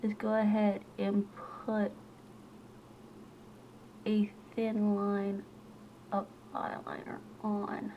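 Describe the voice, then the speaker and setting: Very slow and flat, a woman of medium pitch speaks with long, frequent pauses over noticeable background noise. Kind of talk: makeup tutorial talk to camera. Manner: casual.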